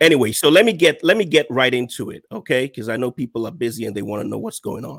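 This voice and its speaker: This man has a medium-pitched voice and talks at a very fast pace with hardly any pauses. His loudness rises and falls sharply. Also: lively intonation. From Nigeria. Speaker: online marketing consultant. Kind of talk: interview on a business podcast.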